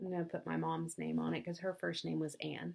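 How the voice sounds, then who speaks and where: At a moderate pace, a woman speaks with a North Alabama accent. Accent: Southern US (North Alabama). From US South, North Alabama. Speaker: craft vlogger. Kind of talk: casual chat.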